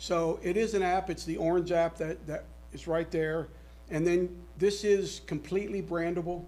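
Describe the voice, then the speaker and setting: A man talks at a moderate pace, and audible room echo follows his voice. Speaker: sales presenter. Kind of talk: sales pitch. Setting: city council meeting. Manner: loud; halting.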